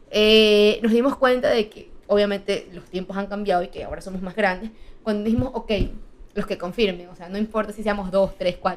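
A woman with a plain, everyday voice and medium pitch, at a fairly quick pace, with fairly even intonation and big swings in loudness. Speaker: travel content creator. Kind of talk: casual chat.

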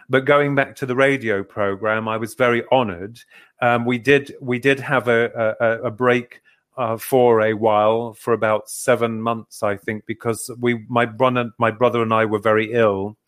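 A man's medium-pitched voice with an English accent and monotone, flat intonation, on a very clean recording with a silent background. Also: moderate pace. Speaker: author and paranormal researcher. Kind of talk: interview.

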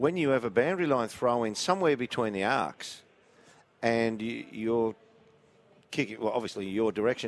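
A man with an Australian accent speaks at a moderate pace in a medium pitch. His intonation is lively, broken by long, frequent pauses. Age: 50s. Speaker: football pundit. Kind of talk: live commentary. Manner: animated.

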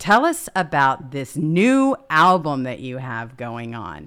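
The woman's tone is animated. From Mississippi, US South. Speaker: talk show co-host. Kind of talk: casual talk show chat. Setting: live online stream.

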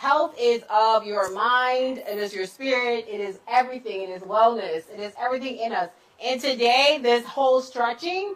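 Over noticeable background noise, a woman with a high pitch sounds animated and enthusiastic, with big swings in loudness and ordinary pitch variation. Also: moderate pace. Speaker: talk show host. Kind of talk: casual chat. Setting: live stream. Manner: animated, enthusiastic.

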